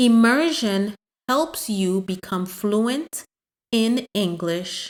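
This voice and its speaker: Very slowly and with lively intonation, a woman speaks at a fairly high pitch, the recording very clean and dry, close, with no echo and a silent background. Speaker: English teacher. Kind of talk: language lesson. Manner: repetitive.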